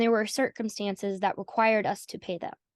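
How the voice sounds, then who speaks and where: A woman with an American accent and a fairly high pitch, dry and close with no echo, over a quiet background. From US South. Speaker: AI community organizer. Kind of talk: interview conversation. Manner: halting.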